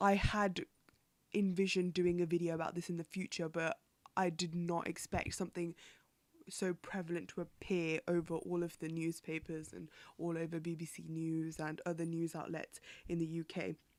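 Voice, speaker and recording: Delivered at a moderate pace in a British accent, the speech stays flat and monotone. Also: woman, fairly low pitch for a woman. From UK. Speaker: podcast host. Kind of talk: solo news commentary podcast. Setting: home recording, window open. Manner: casual, chatty with hesitations.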